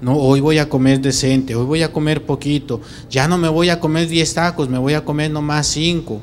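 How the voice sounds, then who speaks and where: At a moderate pace, a man speaks in a fairly high pitch with fairly even intonation and very even loudness, over light background noise. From Mexico City. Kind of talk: homily. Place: church. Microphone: handheld.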